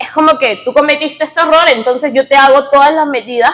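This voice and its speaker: Her voice sits high for a woman. The woman's pitch varies in an ordinary way. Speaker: political science student presenter. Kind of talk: seminar presentation. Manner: halting.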